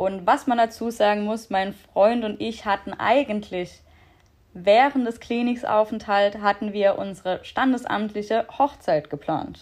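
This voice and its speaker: Fairly slow speech from a woman, pitched fairly high. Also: ordinary pitch variation. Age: 20s. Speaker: podcast guest sharing mental health story. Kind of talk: personal testimony in casual interview.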